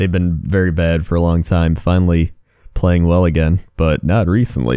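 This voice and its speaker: A soft-spoken man with a very deep, low pitch and a dark, mellow tone, at a moderate pace with ordinary pitch variation. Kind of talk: ASMR rambling.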